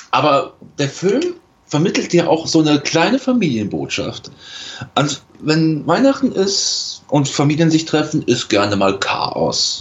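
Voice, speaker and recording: A man speaks at a very slow pace, his pitch fairly high. His pitch swings very widely while his loudness stays very even. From western Germany (Rhineland). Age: 20s. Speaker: podcast guest. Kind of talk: casual chat.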